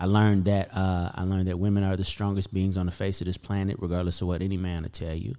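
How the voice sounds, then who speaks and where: A man's very deep, low voice with a dark, mellow tone and an American accent, monotone and flat, racing along at a very fast pace with hardly any pauses over a very clean, silent background. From Las Vegas, US; Arkansas, US South. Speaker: singer-songwriter and producer. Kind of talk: casual interview chat. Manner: casual, profane.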